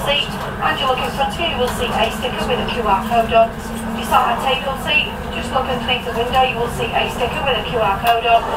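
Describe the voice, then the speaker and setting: A woman rushes through her words at a very fast pace while loud background noise fills the clip. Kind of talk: onboard announcement. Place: train.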